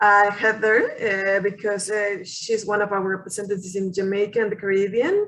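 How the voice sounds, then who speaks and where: A woman speaks with a Mexican accent. Her tone is bright and sharp, and her pace is moderate. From Mexico. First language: Spanish. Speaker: college international recruiter. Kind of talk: online information session presentation. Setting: video call webinar. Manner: hesitant with fillers and repetitions.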